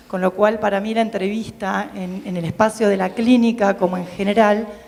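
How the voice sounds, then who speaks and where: A woman speaks at medium pitch with fairly even intonation. Noticeable background noise runs underneath. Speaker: psychoanalyst, audience member asking a question. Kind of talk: audience question at public talk. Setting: public event with audience.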